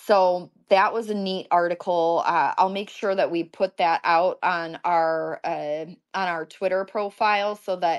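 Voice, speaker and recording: Fairly low in pitch, a woman speaks with a Michigan accent and fairly even intonation. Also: dry, close sound with no echo, quiet background. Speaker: event host. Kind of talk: casual live online talk. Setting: online audio space.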